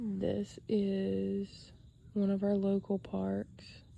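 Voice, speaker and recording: A woman is speaking. She has a Southern US accent. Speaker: sketch artist. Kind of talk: casual talk to camera.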